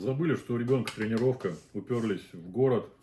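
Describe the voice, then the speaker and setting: A man speaks with a dark, mellow tone. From Azerbaijan (Baku). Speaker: mukbang host, father. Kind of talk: casual chat while eating on a live stream.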